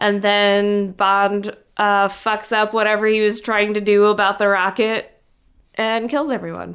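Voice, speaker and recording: A woman talks in a medium pitch with a monotone, flat intonation. Her pace is fairly slow and her loudness very even. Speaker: podcast host.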